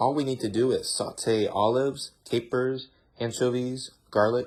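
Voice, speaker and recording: With an American accent, a man speaks at medium pitch, somewhat breathy, his intonation fairly even. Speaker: ESL teacher. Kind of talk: audiobook read-aloud.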